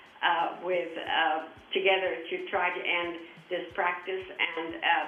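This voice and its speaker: In a room with audible echo and noticeable background noise, a woman talks fairly slowly at a fairly low pitch. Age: 80s+. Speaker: charity founder. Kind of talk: interview. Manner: halting.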